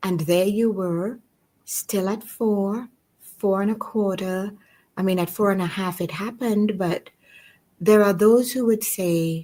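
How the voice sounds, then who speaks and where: Her tone comes across dark and mellow. The woman talks at a fairly slow pace. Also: medium pitch for a woman, fairly even intonation. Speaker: podcast host. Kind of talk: interview conversation.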